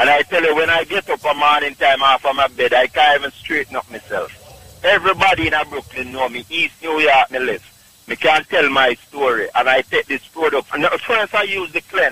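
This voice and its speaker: There is noticeable background noise as a man talks with a Jamaican accent at a moderate pace. His fairly high voice has ordinary pitch variation and hardly any pauses. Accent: Jamaican Patois-inflected English. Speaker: caller. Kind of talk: testimony. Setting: phone call.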